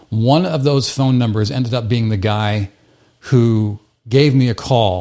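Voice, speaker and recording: A man talks in a normal speaking voice. His pitch is medium, with ordinary variation. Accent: American. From US Midwest. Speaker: video editor and consultant. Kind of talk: casual interview.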